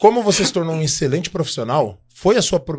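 This man rushes along at a very fast pace. There is a somewhat breathy quality to his voice. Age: 40s. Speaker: podcast co-host. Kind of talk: casual chat; sales pitch. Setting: studio. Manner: animated. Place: studio. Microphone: studio mic.

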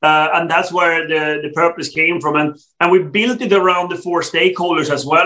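A man's fairly high, bright and sharp voice in a Swedish accent, fairly even in intonation, at a moderate pace over a quiet background. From Sweden. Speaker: telecom executive; guest. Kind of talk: interview. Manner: halting, many fillers. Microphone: video call.

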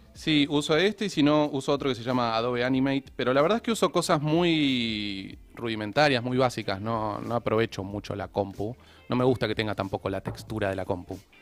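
A man at a fairly quick pace, lively in intonation and with hardly any pauses, over faint background music. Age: 30s. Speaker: illustrator and animator; guest. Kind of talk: casual chat. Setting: studio. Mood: relaxed, friendly. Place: studio. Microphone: studio mic.

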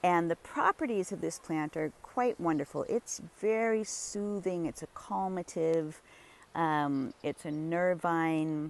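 A woman speaks at a very slow pace. Her pitch sits fairly low. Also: ordinary pitch variation, dry sound with no echo. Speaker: herbalist plant walk guide. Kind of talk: tutorial. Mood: warm, enthusiastic. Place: garden. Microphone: phone near.

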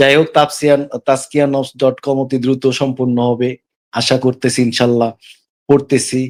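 This man has a normal speaking voice with a fairly high pitch. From Bangladesh, Dhaka. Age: 40s. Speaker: caller to live religious discussion. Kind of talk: testimony.

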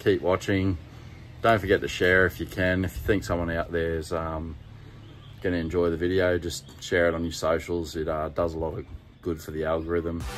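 A man with a very deep, low pitch talks over light background noise. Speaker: car road-trip vlogger. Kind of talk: casual vlog chat. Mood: relaxed morning chat. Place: home room. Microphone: phone near.

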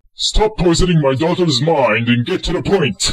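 Using a cartoonish character voice, a man speaks fairly high with lively intonation. His pace is moderate. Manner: gruff, exasperated.

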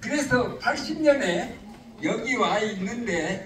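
A man speaks at a very slow pace with an extremely high pitch and lively intonation, and the recording carries audible room echo and light background noise. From South Jeolla, South Korea. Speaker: retired professor. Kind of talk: speech at a book launch event. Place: hall.

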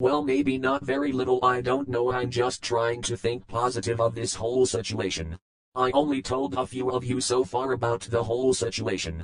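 A put-on character voice at a moderate pace with hardly any pauses. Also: man, medium pitch for a man. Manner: scornful toward ex-boss, then nervous warning.

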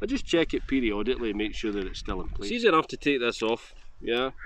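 Recorded with a dry sound and no echo over light background noise, a man talks at a fairly quick pace. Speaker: motovlogger. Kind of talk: casual gear review chat. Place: open country. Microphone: phone near.

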